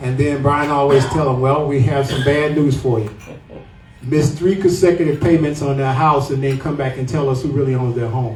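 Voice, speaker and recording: With a Southern US accent, a man speaks at a fairly high pitch over noticeable background noise and audible room echo. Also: fairly even intonation, moderate pace. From US South, Atlanta, Georgia. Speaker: property tax activist, podcast co-host. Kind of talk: public talk to a meeting. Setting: pub meeting room with audience.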